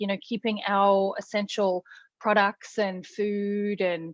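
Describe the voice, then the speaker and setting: A woman of medium pitch with an Australian accent. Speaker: critical care nurse. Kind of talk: casual interview chat. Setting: live video call. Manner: runs words together.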